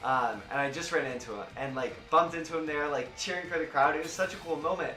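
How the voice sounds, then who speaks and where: A man with an American accent and a fairly high pitch talks at a very fast pace in an animated tone with ordinary pitch variation, over noticeable background noise and audible room echo. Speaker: streamer and esports commentator. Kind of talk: live stream recap chat. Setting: live stream.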